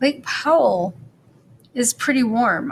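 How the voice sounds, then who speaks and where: Intonation is lively, delivered with an American accent. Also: woman. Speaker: high school chemistry teacher. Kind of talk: lecture. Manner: casual, conversational.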